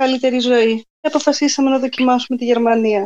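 A woman's high voice at a moderate pace, dry and close with no echo. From southern Greece, Messinia (Methoni). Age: young. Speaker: guest. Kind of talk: casual interview chat.

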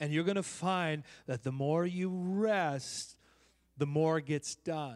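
The recording is very clean with a silent background. A man with a fairly high pitch speaks very slowly, his pitch varying in an ordinary way. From Oakland, California. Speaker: visiting prophetic minister and preacher.

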